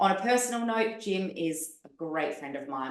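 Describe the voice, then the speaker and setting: A woman with an Australian accent, lively intonation and a moderate pace. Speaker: podcast host. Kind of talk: podcast interview. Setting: video call.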